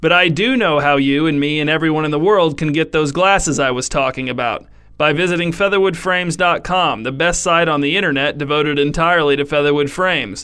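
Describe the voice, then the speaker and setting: Using a plain, everyday voice, a man speaks at a fairly quick pace with ordinary pitch variation. His pitch is fairly high and his loudness very even. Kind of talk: mock-epic fable narration, absurdist scripted storytelling read straight-faced. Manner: dryly ironic, delivering absurd claims with total sincerity.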